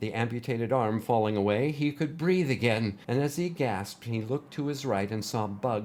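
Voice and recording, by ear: The text is read aloud in a natural voice.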